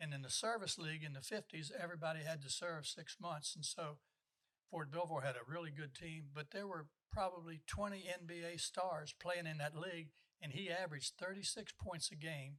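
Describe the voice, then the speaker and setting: A man at a fairly high pitch with an American accent, fairly quick pace, fairly even intonation and a bright, sharp tone. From West Virginia and the Washington DC area. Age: 80s+. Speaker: retired basketball coach. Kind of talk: interview storytelling. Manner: hesitant, repeated words and uh.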